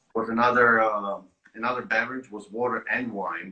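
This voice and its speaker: A man talks with an Italian accent. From Italy. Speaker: winemaker. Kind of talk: casual chat. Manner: halting.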